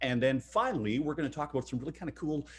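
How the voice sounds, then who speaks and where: The man has a medium-pitched voice. It sounds somewhat breathy. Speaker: webinar host. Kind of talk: webinar presentation. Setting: online webinar. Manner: fast.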